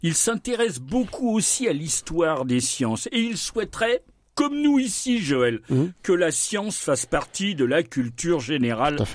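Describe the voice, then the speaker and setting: The speaker moves at a fairly slow pace. Their pitch swings very widely. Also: man, very clean recording, silent background. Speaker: science columnist on radio. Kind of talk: radio science segment.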